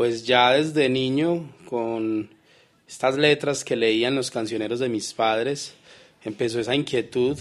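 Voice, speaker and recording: A man's medium-pitched voice at a very slow pace, fairly even in intonation, with music in the background. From Colombia, Pereira. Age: 30s. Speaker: writer and poet. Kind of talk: radio interview. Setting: studio.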